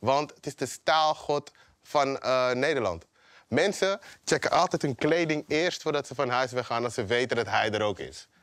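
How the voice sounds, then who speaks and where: Over a quiet background with a dry sound and no echo, a man speaks at a moderate pace with ordinary pitch variation. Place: stage. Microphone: lapel.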